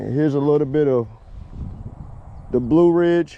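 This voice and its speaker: With a Virginia accent, a man speaks at a moderate pace and a fairly high pitch, keeping his intonation fairly even. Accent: Southern US (Virginia). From US South, Roanoke, Virginia. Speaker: vlogger. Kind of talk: casual vlog narration. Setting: outdoors, riding a scooter on a trail. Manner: casual, conversational.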